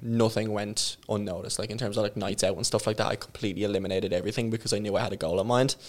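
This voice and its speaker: A man with an Irish accent talks very fast in a fairly low voice, recorded very cleanly against a silent background. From Ireland, small town. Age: 20s. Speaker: online fitness coach. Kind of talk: casual interview chat.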